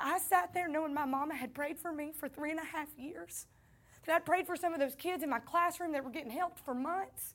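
Fairly quick speech with a Southern US accent. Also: woman, high pitch for a woman, ordinary pitch variation. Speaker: pastor. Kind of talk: sermon. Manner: animated.

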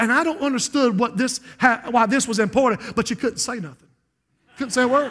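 An American accent marks this man's extremely high voice, bright and sharp in tone and animated. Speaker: pastor. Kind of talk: sermon. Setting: church.

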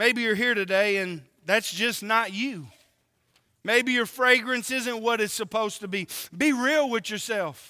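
A man with a high voice speaks in an animated tone with ordinary pitch variation. He raises and projects his voice. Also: very clean recording, silent background. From Oklahoma and California. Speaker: preacher. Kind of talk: sermon.

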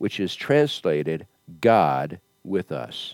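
A man's very deep, low voice swings very widely in pitch on a very clean recording with a silent background and a dry, close sound with no echo. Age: 70s. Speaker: pastor. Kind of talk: sermon. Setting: church.

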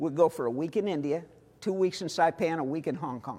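Dark, mellow male voice in an American accent with ordinary pitch variation. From US Midwest (Missouri, St. Louis). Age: 60s. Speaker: missionary. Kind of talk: sermon.

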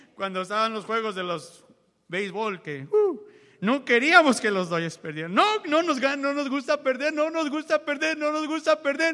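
A man's raised, projected voice, extremely high in pitch for a man, bright and sharp in tone, with very wide pitch swings at a moderate pace. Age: 40s. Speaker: preacher. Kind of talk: sermon. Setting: church.

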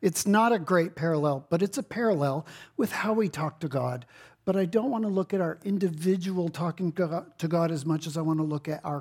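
A man's high voice with an American accent, fairly quick pace, and ordinary pitch variation, in a very clean recording with a silent background. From Texas. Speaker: pastor. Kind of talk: sermon. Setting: church.

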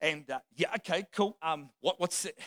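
Bright and sharp in tone, a man speaks in an animated way at a fairly slow pace. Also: dry, close sound with no echo. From Australia or New Zealand. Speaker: visiting pastor. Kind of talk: sermon. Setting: church with congregation. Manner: animated, humorous.

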